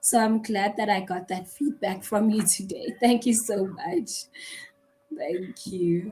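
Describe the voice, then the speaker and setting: A woman at a very slow pace and medium pitch, ordinary pitch variation, music in the background. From South Africa. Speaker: online English tutor. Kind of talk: casual conversation lesson.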